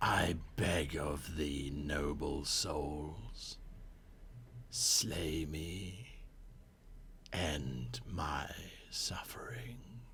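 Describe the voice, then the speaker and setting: A put-on character voice at a very deep, low pitch, very slow, with long, frequent pauses. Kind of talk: archaic. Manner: pleading, mournful.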